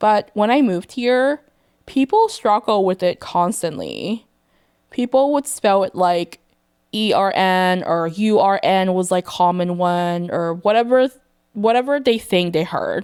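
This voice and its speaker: A woman with a Thai accent and medium pitch speaks at a fairly slow pace with lively intonation. The sound is dry and close with no echo, and the loudness stays very even. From Thailand.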